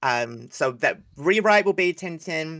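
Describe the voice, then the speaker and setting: With a New Zealand accent, a man speaks at a fairly slow pace with lively intonation. His tone is bright and sharp. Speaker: animation series creator. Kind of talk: casual livestream chat.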